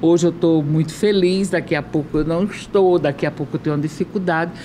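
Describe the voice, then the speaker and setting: A woman's fairly low, fairly quick voice with fairly even intonation, amid noticeable background noise. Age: 70s. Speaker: former politician. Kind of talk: casual chat.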